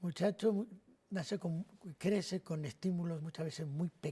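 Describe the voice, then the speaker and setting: At a fairly slow pace, a man talks with a high pitch and ordinary pitch variation, the sound dry and close with no echo. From Spain, Madrid (Carabanchel); born in Navarra. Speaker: priest. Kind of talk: TV interview.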